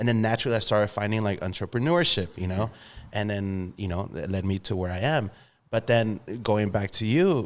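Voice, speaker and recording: Recorded very cleanly against a silent background, a man speaks with a plain, everyday voice at a fairly low pitch. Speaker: podcast host. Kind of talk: casual podcast conversation.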